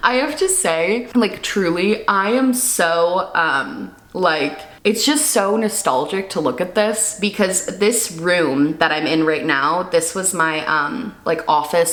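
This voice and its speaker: Amid noticeable background noise and audible room echo, a woman with a fairly low pitch and lively intonation talks at a fairly slow pace with hardly any pauses. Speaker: beauty YouTuber and vlogger. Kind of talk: casual reaction video chat. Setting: home studio. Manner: casual, filler-heavy; lower, natural speaking pitch.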